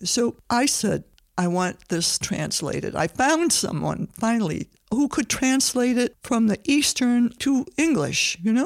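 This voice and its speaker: In an American accent, a woman speaks at a fairly slow pace with a high pitch and very wide pitch swings. Her loudness stays very even, and the recording is very clean with a silent background. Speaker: host's mother, community member. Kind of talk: personal storytelling. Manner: conversational with fillers.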